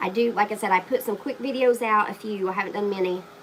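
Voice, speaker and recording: A woman talks at a fairly quick pace with ordinary pitch variation amid noticeable background noise. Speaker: craft YouTuber. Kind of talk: live-stream craft tutorial. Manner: casual, chatty.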